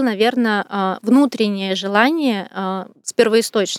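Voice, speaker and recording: A woman with a normal speaking voice, pitched fairly high, with ordinary variation in her intonation. The sound is dry and close, with no echo. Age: 40s. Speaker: personal stylist. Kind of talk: interview.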